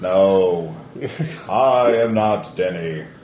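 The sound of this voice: A man's put-on character voice, pitched very deep and low, with clear background noise and a slight echo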